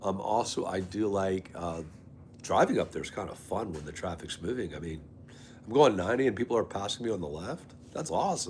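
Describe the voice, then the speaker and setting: Speaking at a fairly quick pace, a man uses a fairly low voice with lively intonation. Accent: American. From Maryland and North Carolina. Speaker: live streamer. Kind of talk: casual chat. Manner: animated.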